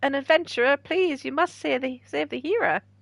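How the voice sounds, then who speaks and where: Using a put-on character voice, a female-sounding speaker talks at a fairly quick pace with a high pitch. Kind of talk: archaic, formal. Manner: acted, pleading, dramatic.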